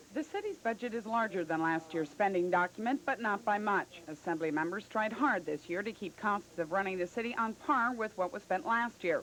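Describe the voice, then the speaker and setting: A woman with an unremarkable speaking voice talks at medium pitch and a fairly quick pace. Her intonation is lively, with hardly any pauses. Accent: American. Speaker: television news anchor. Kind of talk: local TV newscast anchor read. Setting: 1985 broadcast television recording, Betamax tape.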